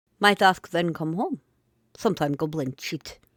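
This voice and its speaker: A put-on character voice cackles in a strong Russian accent at a middle pitch and a moderate pace. The recording is very clean, with a silent background. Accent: thick Russian. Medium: read story. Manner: cackling, broken English.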